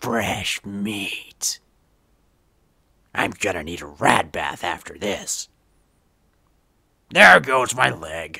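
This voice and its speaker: In a put-on character voice, a man speaks very slowly with long, frequent pauses, using a raspy, menacing tone at a fairly low pitch. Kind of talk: game character audition lines.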